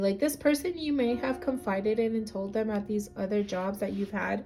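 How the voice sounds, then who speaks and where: A woman's somewhat breathy voice, dark and mellow in tone, with lively intonation. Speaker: tarot reader. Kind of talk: tarot reading. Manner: halting.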